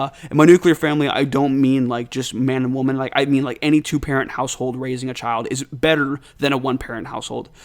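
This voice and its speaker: Speaking at a very fast pace, a man with a medium pitch keeps a monotone, flat intonation. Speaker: gaming channel host. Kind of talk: casual monologue. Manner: low energy.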